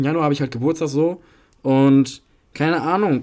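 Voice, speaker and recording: Very slowly paced, no, fairly slowly paced, a man with a fairly high pitch speaks in a very clean recording with a silent background. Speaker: podcast co-host. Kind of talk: casual chat.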